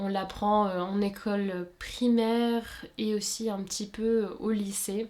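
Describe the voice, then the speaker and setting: A woman at a medium pitch talks with monotone, flat intonation. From Luxembourg. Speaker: sewing YouTuber. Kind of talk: casual Q&A chat. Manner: many hesitations (euh).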